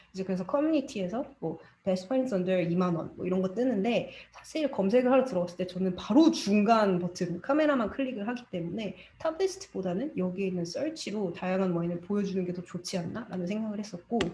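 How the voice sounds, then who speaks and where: Lively intonation runs at a very fast pace over noticeable background noise. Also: woman, medium pitch for a woman. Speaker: study group presenter, digital marketer. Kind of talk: presentation.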